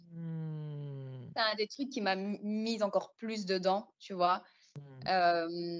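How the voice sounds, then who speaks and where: With ordinary pitch variation and a medium pitch, a woman talks at a very slow pace. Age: 20s. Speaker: podcast guest sharing experience of depression. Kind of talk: personal testimony in casual interview. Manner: hesitant, many fillers.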